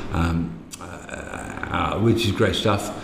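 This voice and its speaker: A man talks with an English accent and fairly even intonation. Audible room echo and noticeable background noise fill the recording. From England, Midlands. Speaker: technical diving instructor. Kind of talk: casual chat. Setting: bar. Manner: halting.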